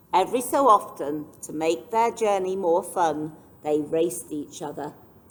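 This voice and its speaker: Noticeable background noise sits in the recording. A woman talks fairly slowly over it. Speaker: children's librarian reading stories aloud. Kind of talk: children's picture book read-aloud.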